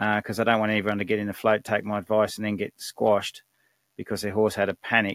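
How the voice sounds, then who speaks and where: With an Australian accent, a man speaks very fast in a fairly low, monotone, flat voice, the sound dry and close with no echo and the recording very clean against a silent background. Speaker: horse trainer. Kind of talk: casual Q&A advice. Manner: halting.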